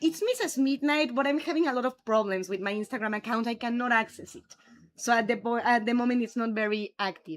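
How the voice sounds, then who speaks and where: A woman with a strong Mexican accent and lively intonation on a very clean recording with a silent background. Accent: Mexican Spanish accent, thick. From Mexico. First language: Spanish. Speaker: streamer. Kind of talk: casual chat. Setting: live stream.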